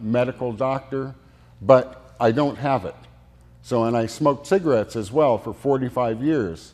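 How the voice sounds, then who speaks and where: A man with an unremarkable speaking voice talks at a moderate pace. His pitch is medium, with ordinary variation. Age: 60s. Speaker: medical cannabis oil maker. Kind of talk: casual interview. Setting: studio.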